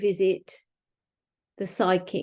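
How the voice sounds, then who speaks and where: Speaking at a fairly slow pace, a woman talks with a British accent. Her pitch is medium, and the background is quiet. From England. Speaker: mystery author. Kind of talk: author talk.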